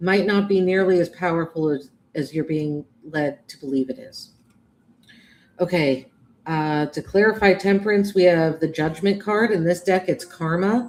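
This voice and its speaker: Using an American accent, a woman talks at a moderate pace in a fairly low voice with ordinary pitch variation and big swings in loudness. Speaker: tarot reader. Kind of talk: live tarot reading. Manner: halting, with fillers and restarts.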